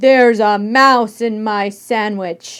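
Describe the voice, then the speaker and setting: A female-sounding voice bellows loudly in a put-on character voice at a fairly high pitch for a woman. The pace is very slow. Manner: roaring, loud.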